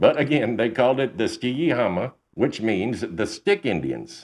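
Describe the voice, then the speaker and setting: A man with a Texan accent uses a dramatic tone at a fairly slow pace against a quiet background. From Texas. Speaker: podcast host, storyteller. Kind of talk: narration of paranormal stories. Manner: conversational, dramatic.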